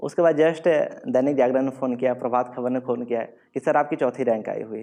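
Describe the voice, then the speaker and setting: This man has a medium pitch and a dark, mellow tone. He keeps a moderate pace and fairly even intonation. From Bihar, India. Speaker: civil services exam topper, Bihar police officer. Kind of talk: motivational stage talk.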